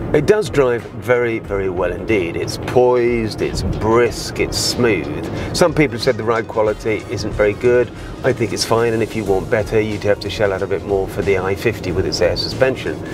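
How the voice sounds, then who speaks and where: Music plays behind a man who talks at a moderate pace with ordinary pitch variation, the sound dry with no echo. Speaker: car reviewer. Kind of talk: car review commentary. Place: car. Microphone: lapel.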